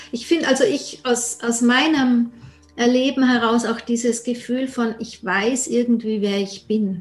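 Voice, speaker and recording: Over noticeable background noise, a woman speaks at a high pitch. Her pace is fairly slow and her intonation fairly even. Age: 50s. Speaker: podcast host. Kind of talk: scripted intro and outro; interview. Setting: video call.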